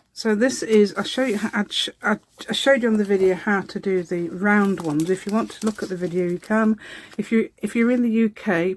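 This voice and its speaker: A woman with a British accent at a medium pitch, moderate pace and ordinary pitch variation. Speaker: craft video tutorial maker. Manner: chatty, hesitant with fillers.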